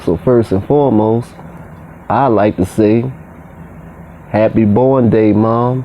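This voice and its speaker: A man speaks very slowly at a medium pitch, with long, frequent pauses, fairly even intonation, and very even loudness. Noticeable background noise is present. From Baltimore. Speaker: community commentator. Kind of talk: casual talk to camera.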